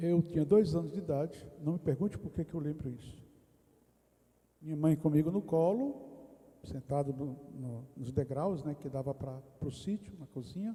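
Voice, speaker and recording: A man speaks at a moderate pace in a fairly high pitch, somewhat breathy, with a dark, mellow tone. His pitch variation is ordinary, while his loudness swings widely. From Brazil, interior of Rio Grande do Norte (Northeast). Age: 60s. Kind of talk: testimony. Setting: retreat round-table discussion in a parish.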